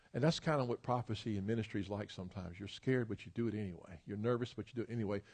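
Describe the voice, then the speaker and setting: Talking very fast with hardly any pauses, the speaker has a Tennessee accent, ordinary pitch variation and a somewhat breathy sound. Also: man, fairly low pitch for a man. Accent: Southern US (Tennessee). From US South, Memphis, Tennessee. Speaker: pastor and educator. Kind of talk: sermon. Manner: animated.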